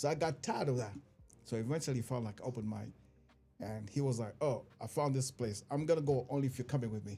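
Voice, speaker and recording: A man's very fast, somewhat breathy voice at medium pitch, dark and mellow in tone, with ordinary pitch variation and an African accent. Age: 50s. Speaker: stand-up comedian. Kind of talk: casual chat.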